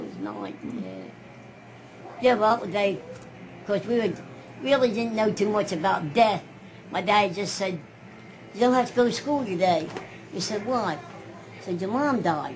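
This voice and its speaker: Speaking at a fairly slow pace with long, frequent pauses, a woman with a medium pitch uses lively intonation over noticeable background noise. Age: 80s+. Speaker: grandmother recounting life story. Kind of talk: family interview answer.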